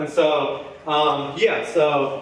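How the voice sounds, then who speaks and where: Noticeable background noise and audible room echo fill the recording. A man with a Southern US accent speaks at a fairly high pitch. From US South. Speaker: comedy show host. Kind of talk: stand-up. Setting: stage with audience. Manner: halting, many ums and restarts.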